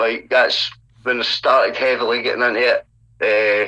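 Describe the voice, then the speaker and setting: The speaker has a Scottish accent. The pace is moderate. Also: man. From Scotland, Dumbarton near Glasgow. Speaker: hip hop artist. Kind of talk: casual interview. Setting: call with guest.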